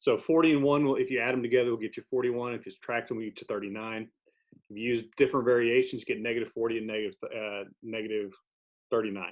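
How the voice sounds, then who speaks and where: Over a quiet background, a man speaks at medium pitch with fairly even intonation. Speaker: math teacher. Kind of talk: tutorial. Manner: fast; casual with fillers.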